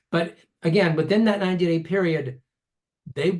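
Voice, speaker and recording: A man speaks with fairly even intonation. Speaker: ballot measure proponent. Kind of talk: endorsement interview answers. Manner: fast.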